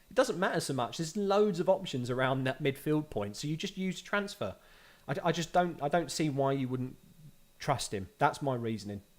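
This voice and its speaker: Very cleanly recorded over a silent background, a man in a Cockney accent talks at a moderate pace with a fairly high pitch and lively intonation. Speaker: fantasy football YouTuber. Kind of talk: live stream Q&A. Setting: live video stream. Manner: casual, conversational.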